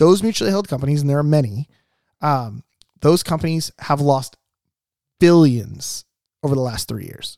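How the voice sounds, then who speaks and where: The speech has long, frequent pauses and ordinary pitch variation. The sound is dry and close, with no echo. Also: man, fairly high pitch for a man. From Southern California, Orange County. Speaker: insurance agent. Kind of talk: casual chat. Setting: studio. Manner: fast.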